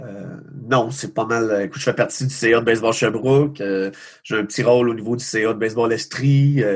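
A man with a normal speaking voice talks fairly quickly at a medium pitch, his intonation fairly even. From Quebec, Magog area. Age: 40s. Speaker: baseball coach. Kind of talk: casual interview. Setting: video call.

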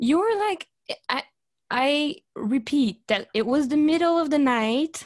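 A woman speaks at a fairly slow pace in a high pitch, with very wide pitch swings and a Quebec accent. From Canada. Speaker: podcast host. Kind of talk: casual chat.

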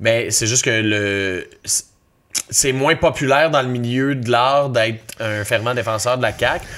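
The man's pace is very slow, and his pitch is medium. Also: ordinary pitch variation. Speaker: actor. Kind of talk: casual chat.

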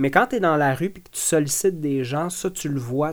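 The recording is very clean with a silent background, capturing a man with an ordinary speaking voice. He talks at a moderate pace and a fairly high pitch, with ordinary pitch variation. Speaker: ex-environmental activist. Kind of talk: interview.

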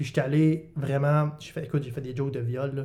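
Somewhat breathy and dark, mellow in tone, a man's voice moves at a fairly quick pace with monotone, flat intonation. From Quebec, Bas-Saint-Laurent. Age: 20s. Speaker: comedian. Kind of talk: casual chat.

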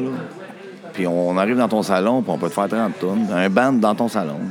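A man with a Quebec accent at a moderate pace amid noticeable background noise. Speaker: musician in a band. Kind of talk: casual chat.

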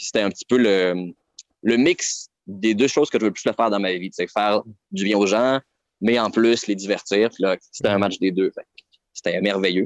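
A man with a Quebec accent, fairly low pitch, fairly even intonation and a dry, close sound with no echo. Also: moderate pace. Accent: Québécois French. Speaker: clown. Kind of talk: casual chat.

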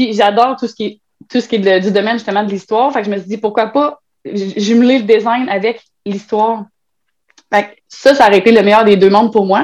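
A woman's fairly high voice, fairly even in intonation, at a fairly quick pace broken by long, frequent pauses. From Quebec, Trois-Rivières. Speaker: web writer and birth doula. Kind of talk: casual interview.

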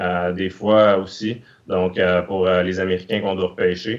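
A man speaks at a very slow pace. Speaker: hockey scout. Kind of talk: interview.

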